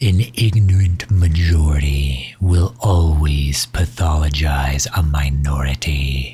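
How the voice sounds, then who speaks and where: In a put-on character voice, a man talks at a very deep, low pitch and a fairly slow pace, with hardly any pauses. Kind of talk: ASMR comfort roleplay. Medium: audio drama. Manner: soft-spoken, gentle.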